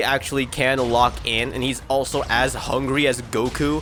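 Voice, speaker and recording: With music in the background, a man talks at a fairly high pitch. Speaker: anime reviewer. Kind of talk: unscripted video review. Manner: halting, self-described stuttering; casual, animated.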